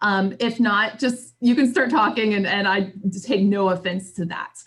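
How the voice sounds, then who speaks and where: A woman's fairly high, somewhat breathy voice moves at a moderate pace with ordinary pitch variation. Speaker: trainer. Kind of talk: lecture.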